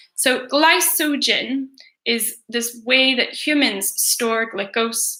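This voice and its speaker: Very slowly, a woman speaks in a high, raised, projected voice with a Northern Irish accent. Her tone is bright and sharp, with ordinary pitch variation. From Northern Ireland. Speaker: teacher. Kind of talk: revision livestream tutorial. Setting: livestream.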